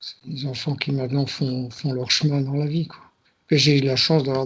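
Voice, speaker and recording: Somewhat breathy and fairly high-pitched, a man speaks at a moderate pace in a monotone, flat delivery. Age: 60s. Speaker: client in a hypnosis session. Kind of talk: interview. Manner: halting.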